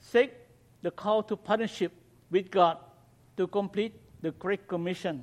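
Speaking in a Cambodian accent, a man uses a high pitch with ordinary pitch variation at a fairly slow pace. He leaves long, frequent pauses, and the sound is dry and close with no echo. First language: Khmer. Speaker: missionary. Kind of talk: mission talk to congregation. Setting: church.

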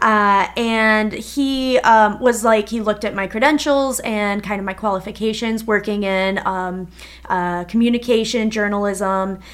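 With an Upper Midwest accent, a woman speaks fairly slowly at a fairly high pitch. Her intonation stays fairly even. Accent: Upper Midwest American. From Minnesota. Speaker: podcast co-host. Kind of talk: casual chat.

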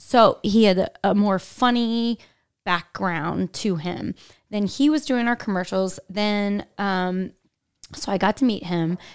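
A woman speaks very slowly with a Midwestern American accent, her pitch medium and its variation ordinary. The recording is very clean, with a silent background. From Indianapolis, Indiana. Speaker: marketing executive and former commercial actress. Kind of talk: casual interview chat.

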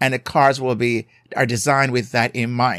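A man talks at a fairly quick pace in a Jamaican accent. The sound is dry and close, with no echo. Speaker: marriage therapist and podcast host. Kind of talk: solo podcast episode on marriage advice. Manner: emphatic, repeats for emphasis.

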